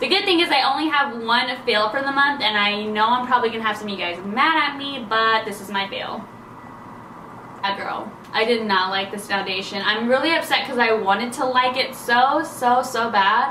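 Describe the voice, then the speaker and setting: A woman's high-pitched, animated voice with ordinary pitch variation, amid audible room echo and noticeable background noise. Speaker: beauty vlogger. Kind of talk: casual vlog talk to camera. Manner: fast.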